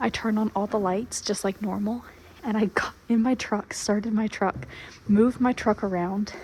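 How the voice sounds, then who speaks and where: At a moderate pace, someone whispers quietly. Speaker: foaling attendant on a horse farm. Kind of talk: video vlog. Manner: whispering.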